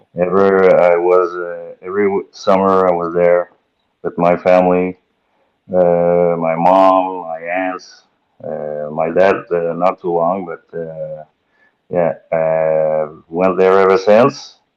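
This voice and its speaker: With a strong Quebec accent, a man speaks at a very slow pace in a very deep, low pitch. His intonation is monotone and flat. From Quebec, Valleyfield. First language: French. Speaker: boat racing driver. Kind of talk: podcast interview. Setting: live-streamed podcast. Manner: halting, many fillers.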